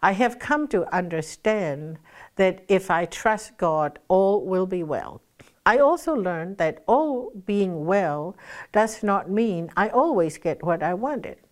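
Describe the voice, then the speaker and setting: A woman speaks at a very slow pace with lively intonation and a medium pitch. The recording is very clean, with a silent background. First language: not English. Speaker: pastor. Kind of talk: devotional talk.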